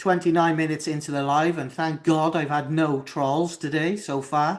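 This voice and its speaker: Speaking at a moderate pace, a man has a fairly high pitch and monotone, flat intonation. The recording is very clean, with a silent background. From Wales, Cardiff. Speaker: mental health livestreamer. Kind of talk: live Q&A reading chat comments. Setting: livestream at home.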